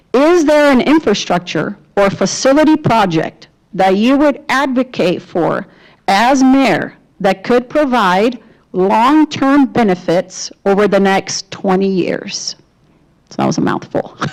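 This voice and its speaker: A woman with a fairly high pitch speaks at a fairly slow pace, her pitch swinging very widely while her loudness stays very even. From Brazil. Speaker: debate moderator. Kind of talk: moderating a candidate forum.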